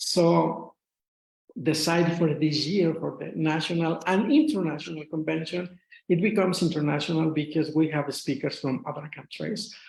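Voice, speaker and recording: With a strong Mexican accent, a man speaks at a moderate pace in a fairly high pitch with fairly even intonation and audible room echo. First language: Spanish. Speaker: retired English teacher, association officer. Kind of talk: lecture. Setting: video call. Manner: halting.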